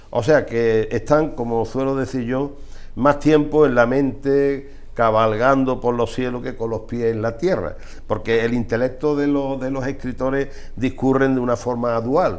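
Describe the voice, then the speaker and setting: A man speaks at a medium pitch with fairly even intonation. Audible room echo is present. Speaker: TV presenter. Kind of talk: TV interview. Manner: halting.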